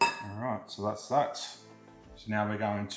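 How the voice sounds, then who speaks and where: With music in the background, the speaker talks in an Australian accent. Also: man. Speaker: home cook. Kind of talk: casual cooking tutorial to camera. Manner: casual, chatty.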